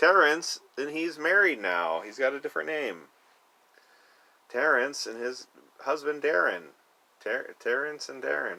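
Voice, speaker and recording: Fairly high-pitched and bright with a sharp tone, a man speaks at a fairly slow pace with vocal fry, very wide pitch swings, big swings in loudness, and long, frequent pauses. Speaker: vlogger. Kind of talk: casual monologue. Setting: storage unit. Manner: animated.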